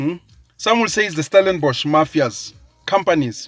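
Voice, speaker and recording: Music plays behind a man with a high-pitched voice and lively intonation. The sound is dry and close, with no echo. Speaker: social commentator. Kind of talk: political rant. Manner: slow; emphatic, animated.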